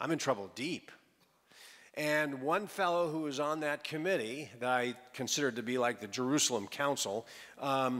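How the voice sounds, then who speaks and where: In a very clean recording with a silent background, a man with a fairly high pitch talks at a moderate pace with ordinary pitch variation in an ordinary speaking voice. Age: 60s. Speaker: pastor. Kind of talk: sermon.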